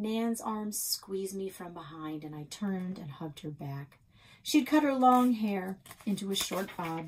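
Lively intonation in a natural reading voice

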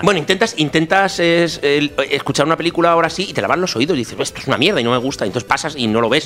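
Over music in the background, the speaker goes at a very fast pace with very wide pitch swings. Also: man. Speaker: podcast co-host. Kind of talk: casual talk show conversation.

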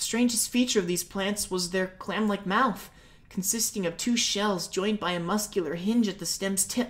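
Plain reading aloud, pitch varying in an ordinary way

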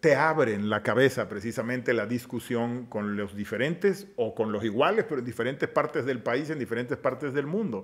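This is a man talking at a moderate pace. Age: 50s. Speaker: politician. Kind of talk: casual interview chat. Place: studio. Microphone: studio mic.

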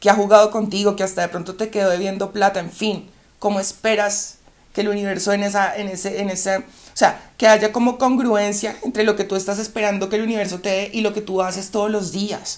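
Speaking at a fairly quick pace, this woman keeps a medium pitch and a monotone, flat intonation. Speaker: YouTube relationship advice creator. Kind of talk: monologue to camera.

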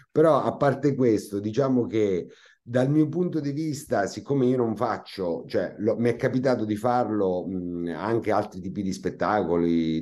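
Speaking at a moderate pace with a Marche accent, this voice has a dark, mellow tone and lively intonation over a quiet background. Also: man. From Marche, Italy. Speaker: comic actor. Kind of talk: interview. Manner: hesitant, with many fillers. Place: home room. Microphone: video call.

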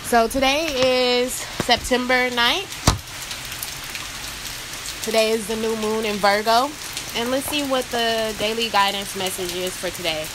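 With noticeable background noise behind her, a woman talks with ordinary pitch variation and long, frequent pauses. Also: fairly slow pace. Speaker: oracle card reader. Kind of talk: casual spiritual reading talk. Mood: calm, soothed. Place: rain. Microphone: phone near.

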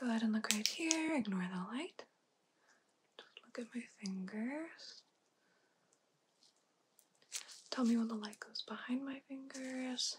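A soft-spoken woman with a high pitch talks at a fairly slow pace, with long, frequent pauses and big swings in loudness. Noticeable background noise is present. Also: ordinary pitch variation. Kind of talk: soft-spoken roleplay instructions. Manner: soft, hushed ASMR speaking voice.

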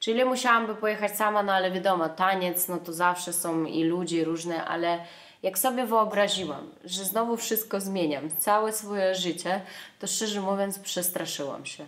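This woman keeps a moderate pace, and her pitch varies in an ordinary way. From Russia. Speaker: dancer. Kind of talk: casual talk to camera. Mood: reflective, candid. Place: home room. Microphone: camera far.

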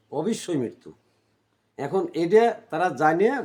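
High-pitched for a man, this male voice has a dark, mellow tone and lively intonation. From Bangladesh, Pabna district. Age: 50s. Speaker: migrant worker. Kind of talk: interview testimony. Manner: halting.

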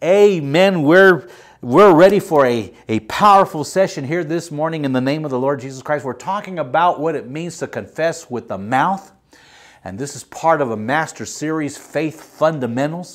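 Against a quiet background, a man talks at a moderate pace with lively intonation and big swings in loudness. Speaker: pastor. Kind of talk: sermon. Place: studio. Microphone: lapel.

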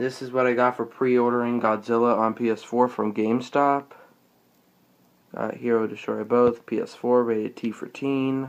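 This man talks at a moderate pace. His intonation is monotone and flat. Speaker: toy collector showing collection. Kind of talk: collection showcase. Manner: subdued, low energy; halting with fillers. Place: home room. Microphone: phone near.

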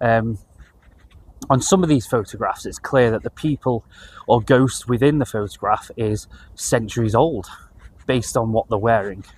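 Speaking at a moderate pace with long, frequent pauses, a man uses a somewhat breathy, medium-pitched voice with ordinary pitch variation. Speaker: paranormal video creator. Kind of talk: casual talk to camera. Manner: hesitant, many fillers.

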